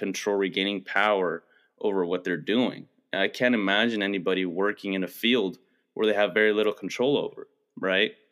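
This man has a normal speaking voice, fairly low in pitch. He keeps a moderate pace. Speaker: podcast co-host. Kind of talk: casual chat.

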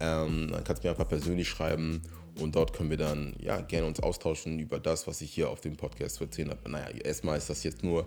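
A man talks at a fairly quick pace in a very deep, low pitch with vocal fry and ordinary pitch variation. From northern Germany, near Hamburg. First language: Ewe (speaking German). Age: 30s. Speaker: personal trainer and YouTuber. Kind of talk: casual solo monologue. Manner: hesitant, many filler sounds.

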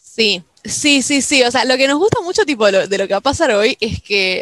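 With lively intonation, a woman talks at a moderate pace in a dry, close sound with no echo. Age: young. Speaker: podcast host. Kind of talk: casual chat. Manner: halting.

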